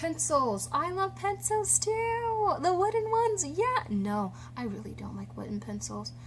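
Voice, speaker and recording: A woman with an American accent speaks at a fairly slow pace, with hardly any pauses and big swings in loudness. Audible room echo and noticeable background noise fill the recording. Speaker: vlogger. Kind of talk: personal story vlog. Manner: casual with many fillers.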